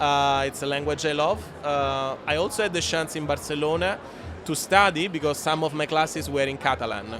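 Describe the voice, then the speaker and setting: Music plays behind a man with an Italian accent and a fairly high pitch. He talks at a fairly quick pace with ordinary pitch variation. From Italy. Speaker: aviation industry executive. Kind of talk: podcast interview. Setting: live event recording. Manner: halting, many fillers.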